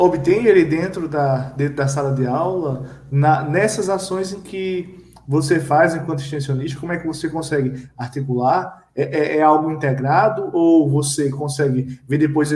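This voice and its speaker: A man talks with a fairly high pitch and ordinary pitch variation. His pace is moderate. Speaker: live-stream moderator. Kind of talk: panel discussion.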